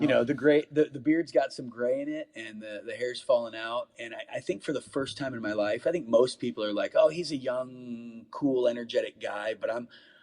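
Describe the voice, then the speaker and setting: Against noticeable background noise, a man with an American accent talks with hardly any pauses and big swings in loudness. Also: moderate pace. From US Midwest, northeast Ohio. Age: 40s. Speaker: pastor. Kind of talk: casual chat. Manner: halting, many repetitions.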